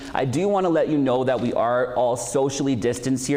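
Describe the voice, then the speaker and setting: Noticeable background noise and audible room echo fill the recording. Through them, a man talks at a fairly quick pace. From Saskatchewan, Canada. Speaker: event host. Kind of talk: event introductions. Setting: school hall, socially distanced event.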